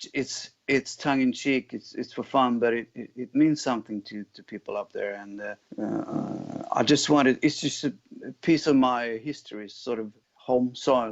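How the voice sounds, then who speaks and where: A man with a Swedish accent speaks at medium pitch and a moderate pace, his intonation fairly even but his loudness swinging widely. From Sweden, Jämtland. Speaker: rock guitarist and singer. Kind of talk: interview. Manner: halting.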